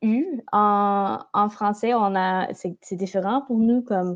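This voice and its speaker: A woman's fairly high voice with a slight English accent, fairly even intonation, and a very slow pace. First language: English (speaking French). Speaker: language teacher. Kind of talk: casual chat. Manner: halting.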